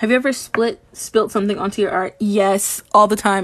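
A woman's monotone, flat delivery at a fairly quick pace. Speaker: digital artist streamer. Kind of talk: livestream chat while painting. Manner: deadpan; flat, little emotion in voice. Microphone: phone near.

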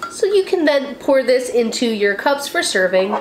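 A woman is speaking with light background noise. Audible room echo surrounds her voice. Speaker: tea channel host. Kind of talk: tutorial. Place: home room.

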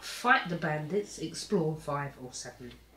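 Noticeable background noise under a woman's fairly slow delivery. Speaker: family board game player. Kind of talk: casual chat.

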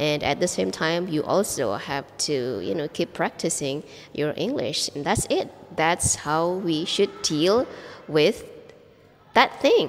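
A woman speaks very slowly with an Indonesian accent. Her fairly low voice swings very widely in pitch. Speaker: English teacher. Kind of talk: vlog monologue.

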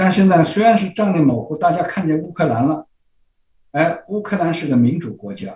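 A man talks with vocal fry and a dark, mellow tone. Audible room echo surrounds the voice. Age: 80s. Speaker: political blogger and commentator; political blogger, commentator. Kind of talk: interview. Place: home room. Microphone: webcam.

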